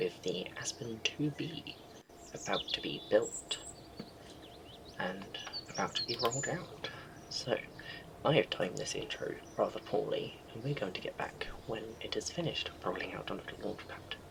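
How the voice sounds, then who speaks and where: A man speaks quietly at a moderate pace with long, frequent pauses. Noticeable background noise is present. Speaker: gaming video host. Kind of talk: casual gameplay commentary.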